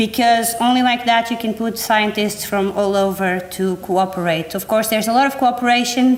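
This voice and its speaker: Over noticeable background noise, a woman speaks with a non-native accent. Her pitch is fairly high and her pace moderate. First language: not English. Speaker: environmental educator. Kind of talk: workshop presentation. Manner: halting.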